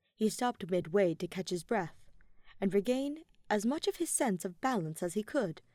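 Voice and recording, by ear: The intonation is lively. Text is read aloud in a natural voice.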